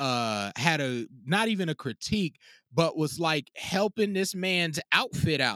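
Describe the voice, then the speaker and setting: Dry and close with no echo, a man with an American accent speaks in a bright, sharp tone with very wide pitch swings. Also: very clean recording, silent background. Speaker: music producer and DJ. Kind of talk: casual interview.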